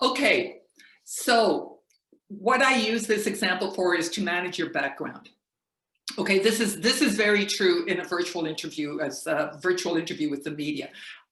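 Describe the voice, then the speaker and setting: A woman speaks at a moderate pace in a medium pitch, her intonation lively and the room echo audible. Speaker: media trainer. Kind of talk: lecture.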